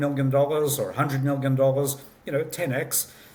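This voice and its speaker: A man at medium pitch talks at a fairly quick pace. Audible room echo surrounds his voice. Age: 60s. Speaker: company founder and CEO. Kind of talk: interview. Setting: remote call.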